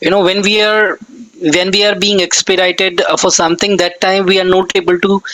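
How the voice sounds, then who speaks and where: Over noticeable background noise, a man uses a raised, projected voice with a high pitch, monotone, flat intonation and very even loudness at a fairly quick pace. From northern India, NCR region. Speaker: English conversation tutor. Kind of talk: casual chat.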